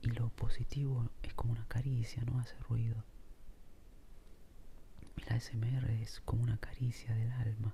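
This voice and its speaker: Soft-spoken and somewhat breathy, a man talks in a flat monotone at a medium pitch with long, frequent pauses and a dark, mellow tone. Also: moderate pace. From Argentina. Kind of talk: ASMR soft-spoken casual musing while drawing. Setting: home recording with heavy rain in background.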